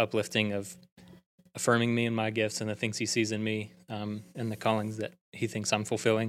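Music in the background behind a man with a Southern US accent, fairly low pitch, monotone, flat intonation and a fairly quick pace. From Alabama (Prattville). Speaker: church youth ministry director. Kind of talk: casual interview.

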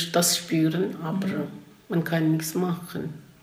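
Over noticeable background noise and audible room echo, a woman with a non-native accent speaks very slowly at a fairly low pitch. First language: not German (speaking German). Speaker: interviewee. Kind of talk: interview testimony.

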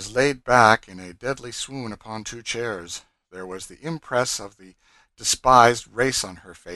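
A natural reading voice comes through, and the background is quiet.

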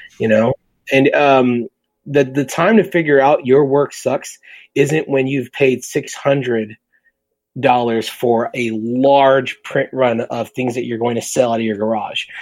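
A man uses a normal speaking voice at medium pitch. His intonation is fairly even and his pace fairly slow. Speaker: print and design professional. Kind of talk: casual interview chat.

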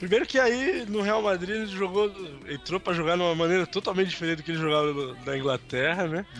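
With lively intonation, a man talks at a very fast pace in a high pitch, over noticeable background noise. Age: 30s. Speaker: sports podcast co-host. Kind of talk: casual chat.

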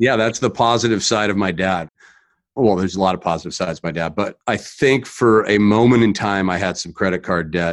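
Against a quiet background, a man with a General American accent talks at a very fast pace. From California. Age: 40s. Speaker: mortgage loan advisor. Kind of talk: interview conversation.

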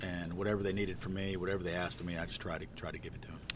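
This man speaks in a very deep, low voice with monotone, flat intonation. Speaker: state tennis association president. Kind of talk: casual interview.

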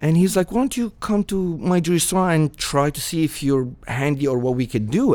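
A man with an Arabic accent, fairly high pitch, very wide pitch swings and a moderate pace. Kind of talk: casual interview.

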